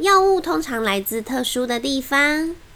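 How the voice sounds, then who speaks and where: Against noticeable background noise, a woman speaks at a high pitch and a fairly slow pace, her pitch swinging very widely. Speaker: children's picture book narrator. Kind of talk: reading aloud a children's story. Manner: lively, playful storytelling.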